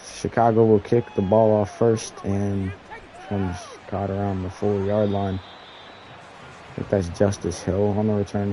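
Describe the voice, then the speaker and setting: Over noticeable background noise, a man with a fairly low pitch talks at a moderate pace in a flat, monotone delivery. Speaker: gaming streamer. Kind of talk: live game commentary. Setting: live stream. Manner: casual, with slips of the tongue.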